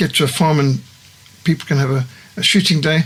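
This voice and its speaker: Noticeable background noise sits behind a man's voice. His pitch is fairly high and his intonation fairly even. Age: 60s. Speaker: missionary organisation founder. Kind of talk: studio interview. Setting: studio.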